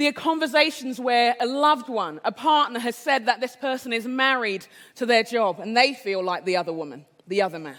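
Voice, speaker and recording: Speaking fairly quickly in an English accent, a woman uses a high voice with lively intonation. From England. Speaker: conference speaker. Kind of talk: inspirational keynote talk.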